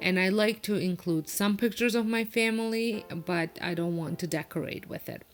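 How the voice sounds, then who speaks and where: The speaker has a non-native accent and ordinary pitch variation, moving at a moderate pace with hardly any pauses over noticeable background noise. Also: woman, medium pitch for a woman. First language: not English. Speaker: home decor vlogger. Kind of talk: casual voiceover narration. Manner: hesitant, many fillers.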